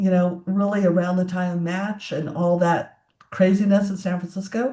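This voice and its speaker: A woman speaks at a moderate pace in a dark, mellow tone that is somewhat breathy. Her intonation stays monotone and flat. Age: 60s. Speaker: tech entrepreneur and CEO. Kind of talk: interview conversation.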